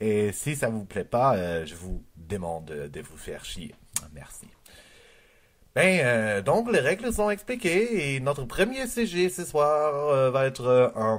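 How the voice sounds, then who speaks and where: With a German accent, a man at medium pitch speaks very slowly, his pitch swinging very widely and his loudness shifting a lot. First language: German (speaking French). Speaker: comedian. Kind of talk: improvised comedy monologue. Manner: halting, many hesitations.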